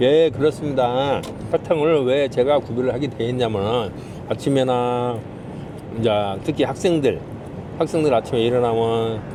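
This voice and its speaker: A man with a Jeolla accent speaks at a moderate pace in a medium pitch, with ordinary pitch variation and noticeable background noise. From Jeolla, South Korea. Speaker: taxi driver. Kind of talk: interview. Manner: formal.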